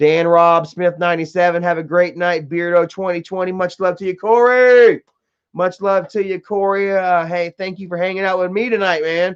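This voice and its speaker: This man has a high-pitched voice. He talks at a moderate pace with fairly even intonation. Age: 30s. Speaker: live streamer. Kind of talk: casual chat. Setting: live stream at home. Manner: casual, laid-back.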